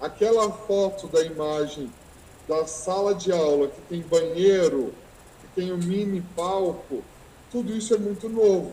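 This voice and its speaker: There is noticeable background noise and audible room echo. A man talks fairly slowly at a high pitch with ordinary variation. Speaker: teacher and researcher. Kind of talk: online lecture. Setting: video call from school. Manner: halting.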